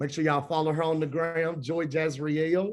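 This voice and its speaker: Over a quiet background, a man with a high voice speaks with a Memphis accent. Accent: Southern US (Memphis). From US South, Memphis, Tennessee. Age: 20s. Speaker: nonprofit alumni coordinator. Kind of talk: webinar presentation. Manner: enthusiastic.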